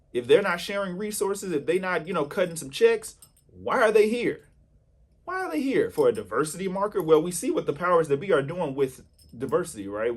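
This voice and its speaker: With an American accent, a man talks at a fairly quick pace, his intonation lively and his tone animated. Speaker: independent filmmaker and channel host. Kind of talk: casual vlog rant.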